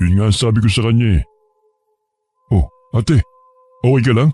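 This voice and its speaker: Putting on a character voice, a man of medium pitch speaks at a moderate pace in a dry, close sound with no echo. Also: ordinary pitch variation. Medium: read story.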